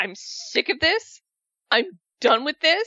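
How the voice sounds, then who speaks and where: A man puts on a character voice at an extremely high pitch. The pace is fairly slow. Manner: stern, fed up.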